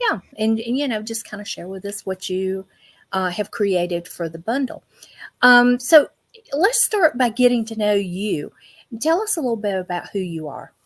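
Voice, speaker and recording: A woman's fairly high voice with a Southern US accent, lively in intonation, at a moderate pace with big swings in loudness. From US South. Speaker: interviewer. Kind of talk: interview.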